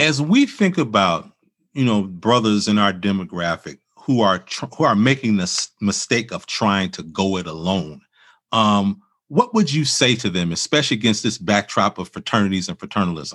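In an American accent, a man with a fairly low pitch and an ordinary speaking voice talks at a moderate pace with lively intonation over a quiet background. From Chicago, US Midwest. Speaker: podcast host and minister. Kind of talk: interview and scripted reflection.

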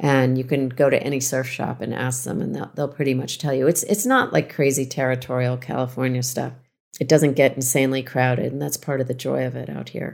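A woman speaks at a fairly quick pace with a very deep, low pitch and vocal fry. Her intonation stays fairly even. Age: 50s. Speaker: author and journalist. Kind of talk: interview.

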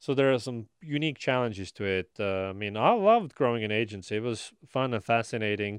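This man has an Estonian accent and a medium-pitched voice with ordinary pitch variation. He talks at a fairly quick pace with hardly any pauses, over a quiet background. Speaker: marketing company founder. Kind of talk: interview. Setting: studio.

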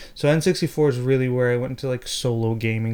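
Heard in a very clean recording with a silent background, a man with an American accent has an ordinary speaking voice, a medium pitch and fairly even intonation. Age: 30s. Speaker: podcast host. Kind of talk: casual chat.

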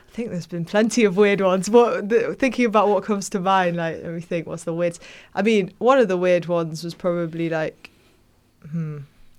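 On a very clean recording with a silent background, a woman with a Manchester accent talks fairly quickly at medium pitch, showing ordinary pitch variation and big swings in loudness. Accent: Mancunian. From northern England, Manchester area. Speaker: pop singer-songwriter. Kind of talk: interview. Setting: studio.

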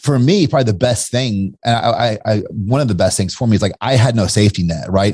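Here a man with an American accent uses a normal speaking voice at a medium pitch. He moves at a fairly quick pace with ordinary pitch variation and hardly any pauses. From Kentucky, US. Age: 40s. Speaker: entrepreneur. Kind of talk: casual chat.

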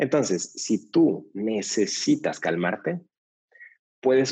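A man speaks at a very slow pace. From Mexico City. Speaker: yoga teacher trainer. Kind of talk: interview conversation.

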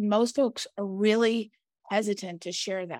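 In a very clean recording with a silent background, a woman with a plain, everyday voice speaks at a fairly slow pace in a fairly high pitch. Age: 50s. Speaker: podcast co-host, business owner. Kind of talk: casual chat.

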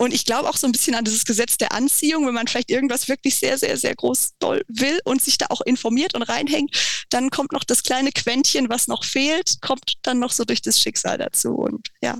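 Her voice high-pitched with ordinary pitch variation, a woman speaks at a very even loudness with hardly any pauses. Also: moderate pace. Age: 30s. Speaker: freelance copywriter and travel journalist. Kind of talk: interview. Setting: remote call.

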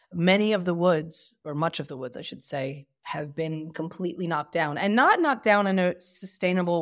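The woman speaks in a New Jersey accent on a very clean recording with a silent background. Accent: American (New Jersey). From Lakewood, New Jersey, US. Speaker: women's rights advocate. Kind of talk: interview.

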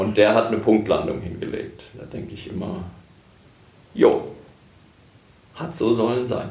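A man talks at a fairly slow pace, with long, frequent pauses and big swings in loudness. Audible room echo and noticeable background noise fill the recording. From Germany, Herborn (Hesse). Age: 50s. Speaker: hospice pastor. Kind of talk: interview.

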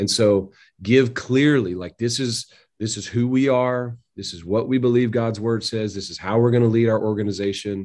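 A man with an ordinary speaking voice talks at a moderate pace and medium pitch, with fairly even intonation and big swings in loudness. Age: 40s. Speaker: pastor. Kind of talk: interview.

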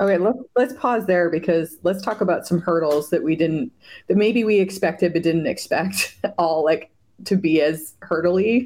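A woman at a moderate pace in a fairly low pitch, with ordinary pitch variation, very even loudness and a very clean recording over a silent background. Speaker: podcast host and marketing agency owner. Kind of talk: casual interview chat. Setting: call. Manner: animated.

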